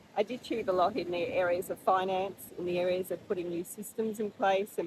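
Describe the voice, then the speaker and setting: A woman talks with an Australian accent at a moderate pace. Her pitch varies in an ordinary way. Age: 60s. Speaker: vlogger. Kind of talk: monthly reflection vlog. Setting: outdoors at the beach rocks. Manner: casual, with fillers.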